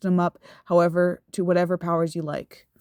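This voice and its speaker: Recorded very cleanly with a silent background, a woman's voice comes through in a dry, close sound with no echo. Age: adult. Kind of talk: casual video essay commentary.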